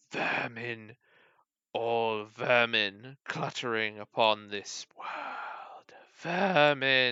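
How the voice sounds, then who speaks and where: Putting on a character voice at medium pitch, a man talks very slowly with long, frequent pauses. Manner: menacing, contemptuous.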